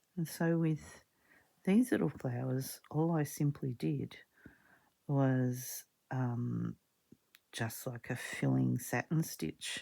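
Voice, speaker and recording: A woman at a very slow pace with long, frequent pauses, on a very clean recording with a silent background. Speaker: craft video creator. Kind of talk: casual crafting tutorial. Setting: home art room. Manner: soft-spoken.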